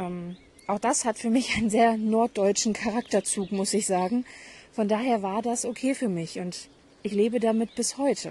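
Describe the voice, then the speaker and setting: Fairly high female speech, moderately paced, its pitch varying in an ordinary way. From northern Germany, Hamburg. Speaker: podcast host. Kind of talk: personal monologue. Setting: outdoors in garden.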